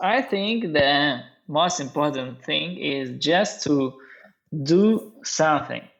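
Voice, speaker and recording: In a Russian accent, the speaker talks at a very slow pace. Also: man. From Russia, Norilsk in northern Siberia. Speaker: bartender and brand ambassador. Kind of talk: podcast interview. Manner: halting, many hesitations.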